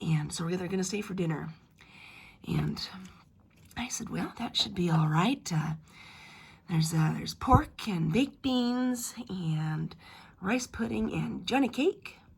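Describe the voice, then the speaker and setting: A woman's fairly low, vocal-fried voice at a fairly slow pace, with very wide pitch swings and long, frequent pauses. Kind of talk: family history told in first person as an ancestor. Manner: casual, hesitant.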